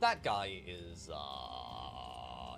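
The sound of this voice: What comes through is an unforced reading voice.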